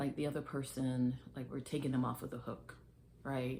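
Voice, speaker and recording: Very deep, low female voice with vocal fry, a dark, mellow tone and monotone, flat intonation. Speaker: faith vlogger. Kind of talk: casual faith talk to camera. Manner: slow; hesitant, filler words.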